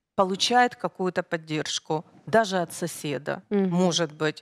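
Against a quiet background, a woman talks at a fairly slow pace. Her medium pitch carries lively intonation. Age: 50s. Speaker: guest. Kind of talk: studio interview. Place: studio. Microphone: headset.

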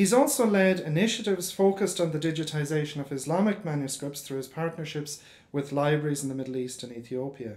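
A man with an Irish accent talks at a very fast pace and a fairly high pitch, with hardly any pauses. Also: ordinary pitch variation. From Ireland. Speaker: professor. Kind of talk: formal introduction. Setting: lecture hall with audience. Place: hall. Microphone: podium.

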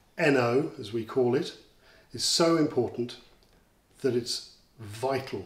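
The voice is somewhat breathy, moving at a fairly slow pace with ordinary pitch variation amid audible room echo. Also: man. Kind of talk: interview answer, explanatory. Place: home room.

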